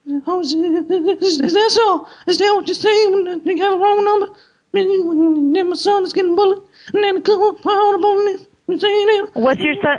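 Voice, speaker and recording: Using a put-on character voice, this man talks fairly slowly at an extremely high pitch. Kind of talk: prank call acting. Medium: solo performance. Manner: rambling, overwrought.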